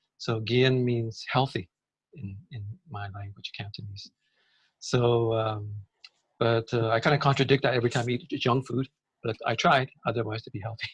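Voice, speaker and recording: At a moderate pace and with fairly even intonation, a somewhat breathy voice speaks with long, frequent pauses against a quiet background. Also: man, medium pitch for a man, dry, close sound with no echo. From Canada. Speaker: systems change advocate. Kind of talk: interview.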